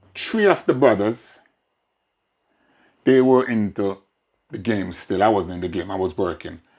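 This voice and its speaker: In a Jamaican accent, a man with a fairly low pitch and ordinary pitch variation talks at a moderate pace with long, frequent pauses, on a very clean recording with a silent background. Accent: Jamaican, with patois features. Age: 60s. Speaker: father being interviewed. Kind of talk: casual family interview.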